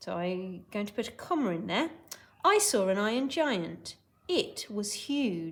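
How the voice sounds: Throughout, the speaker uses a natural reading voice.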